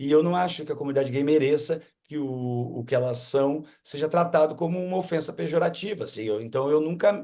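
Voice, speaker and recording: Hardly any pauses break this fairly quick delivery, given in a dark, mellow tone with ordinary pitch variation. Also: man, fairly high pitch for a man. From southern Brazil, Rio Grande do Sul (Esteio). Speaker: stand-up comedian. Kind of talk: interview. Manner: halting, many repetitions.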